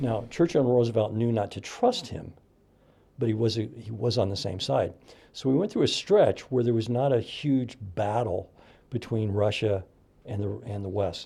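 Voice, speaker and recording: A somewhat breathy man with an American accent, a dark, mellow tone and ordinary pitch variation. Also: medium pitch for a man, moderate pace. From US Midwest, Indiana. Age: 60s. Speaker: podcast host. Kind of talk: casual chat.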